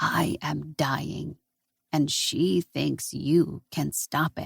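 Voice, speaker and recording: In a put-on character voice, the speaker growls quietly and raspily at a very slow pace. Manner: quiet, dying.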